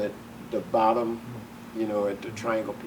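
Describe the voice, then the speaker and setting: A medium-pitched man in a Southern US accent, with noticeable background noise and audible room echo. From US South. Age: 70s. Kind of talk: oral history interview. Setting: museum. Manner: animated.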